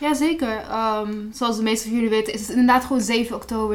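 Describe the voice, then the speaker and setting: Audible room reverb around a woman's rather high-pitched voice. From Palestinian background. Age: 20s. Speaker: student activist. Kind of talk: interview.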